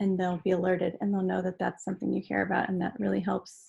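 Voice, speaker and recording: A woman talks at a fairly quick clip with a medium pitch, a somewhat breathy, dark and mellow tone, and a quiet background. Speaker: advocacy volunteer. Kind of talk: webinar presentation. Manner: fast.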